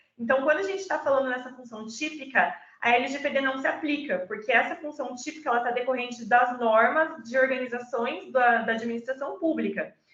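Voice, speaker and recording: Speaking at a fairly quick pace with hardly any pauses, a woman has a high pitch. Her pitch variation is ordinary. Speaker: data protection law speaker. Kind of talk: online presentation.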